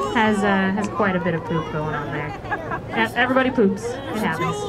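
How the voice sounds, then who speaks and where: A woman's voice over crowd noise in the background. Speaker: tour naturalist guide. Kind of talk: tour commentary. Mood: light, joking. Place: boat.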